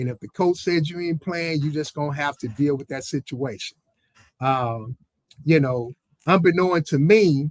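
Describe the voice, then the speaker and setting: At a moderate pace, a man talks in a fairly high pitch with ordinary pitch variation and big swings in loudness. The sound is dry and close, with no echo. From Mississippi, US South (Moss Point). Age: 60s. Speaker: former baseball player. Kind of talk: interview storytelling.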